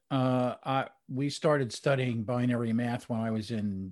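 This is a normal speaking voice from a man at medium pitch. His intonation stays fairly even. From New Jersey, near New York City. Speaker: IT and customer experience industry analyst. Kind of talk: interview.

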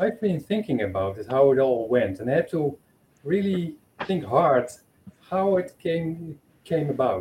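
The voice has a dark, mellow tone and is somewhat breathy. It moves at a fairly slow pace in a Dutch accent. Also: man. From Netherlands. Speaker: supporter. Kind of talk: testimony. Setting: video call.

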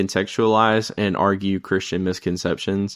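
A man with an ordinary speaking voice and fairly low pitch talks at a moderate pace against a quiet background. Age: 20s. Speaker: podcast co-host and news journalist. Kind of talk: casual chat.

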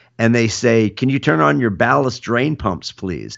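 With vocal fry, a man speaks at a moderate pace and a medium pitch. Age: 50s. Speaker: podcast host and boat builder. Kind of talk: casual chat.

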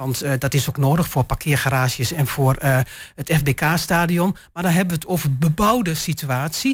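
In a very clean recording with a silent background, a woman speaks at a moderate pace with a very deep, low pitch. Her voice is somewhat breathy and her intonation lively. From eastern Netherlands, Twente. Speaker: local councillor. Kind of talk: panel discussion.

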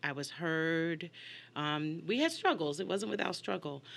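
Over a silent background in a very clean recording, a woman speaks with an American accent. Her pitch is very deep and low, yet her tone is bright and sharp. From New York. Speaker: singer and voice teacher. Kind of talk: interview. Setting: studio.

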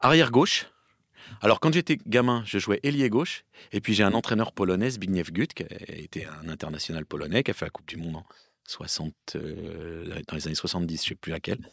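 A man speaks at a fairly low pitch and a moderate pace, with very wide pitch swings and big swings in loudness. The sound is dry and close, with no echo. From Île-de-France (Paris, Seine-et-Marne). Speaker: football commentator. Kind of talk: casual chat.

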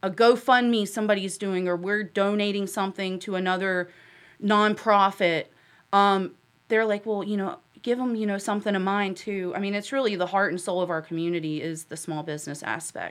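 In a very clean recording with a silent background, a woman with an American accent uses an ordinary speaking voice at medium pitch, moderate pace and fairly even intonation. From Huntersville, North Carolina. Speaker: town commissioner and nonprofit director. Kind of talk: casual chat.

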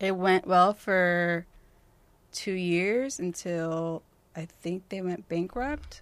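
In a very clean recording with a silent background, a woman with a West Coast American accent speaks very slowly at a medium pitch and ordinary pitch variation. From Northern California (Tracy, near Stockton). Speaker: music journalist and magazine founder. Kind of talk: casual chat.

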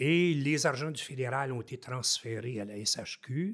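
A man speaks in a normal speaking voice at a medium pitch. His pace is fairly slow, with ordinary pitch variation. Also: very clean recording, silent background. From Haute-Gatineau, Quebec. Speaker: forestry engineer, former mayor. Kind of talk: casual interview.

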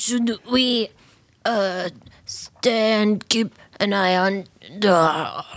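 A female-sounding put-on character voice sounds strained at a medium pitch. It moves at a very slow pace with long, frequent pauses. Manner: strained, painful.

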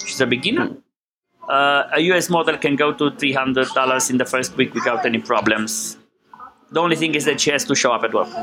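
With a Romanian accent, this speaker talks at a fairly quick pace and with fairly even intonation while music plays in the background. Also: man. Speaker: business owner. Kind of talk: interview.

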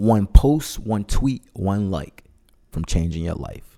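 A man's fairly low voice, dark and mellow in tone, comes through on a very clean recording with a silent background. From Memphis, Tennessee. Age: 30s. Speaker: podcast host. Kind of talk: casual chat; scripted intro.

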